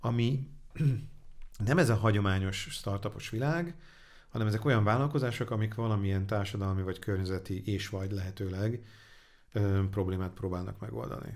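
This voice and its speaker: Over a quiet background, the voice moves at a moderate pace with ordinary pitch variation and long, frequent pauses. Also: man, fairly low pitch for a man. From Hungary. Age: 40s. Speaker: angel investor; interview guest. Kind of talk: interview; interview answer. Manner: halting. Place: studio. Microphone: studio mic.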